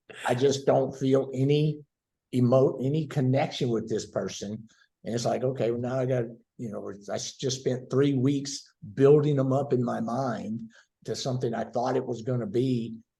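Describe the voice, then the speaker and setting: A man with a Southern US accent speaks at medium pitch with a dark, mellow, somewhat breathy tone. His intonation is fairly even, and his pace is moderate. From US South, Tennessee. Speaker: guest. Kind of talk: casual chat.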